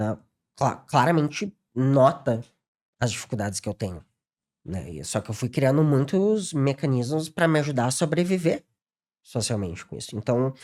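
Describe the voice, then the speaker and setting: At a moderate pace with long, frequent pauses, the voice makes very wide pitch swings and big swings in loudness, captured in a very clean recording with a silent background. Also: man, medium pitch for a man. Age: 30s. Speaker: psychologist. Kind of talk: podcast interview. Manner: halting, repeats words.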